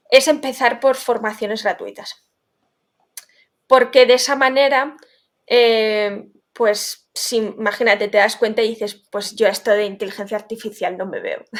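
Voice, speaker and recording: A woman's fairly high pitch, fairly even intonation and fairly slow pace. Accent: Basque. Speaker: legal tech founder. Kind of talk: interview.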